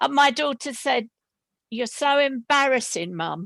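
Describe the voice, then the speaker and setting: The speaker is a woman with a high pitch. Her voice moves through very wide pitch swings. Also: dry, close sound with no echo. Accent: West London. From West London. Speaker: creative writing student. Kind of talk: panel discussion.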